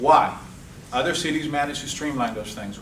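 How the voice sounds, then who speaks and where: Both audible room echo and noticeable background noise accompany a man speaking at a fairly quick pace with ordinary pitch variation. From Cuba, raised in South Florida. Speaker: political candidate. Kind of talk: campaign speech. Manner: animated.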